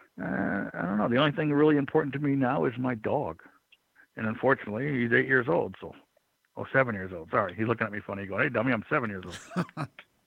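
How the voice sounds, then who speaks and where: With vocal fry and lively intonation, a man speaks very fast at medium pitch. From Michigan, raised in Florida from childhood. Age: 50s. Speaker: former pro wrestler. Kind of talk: interview.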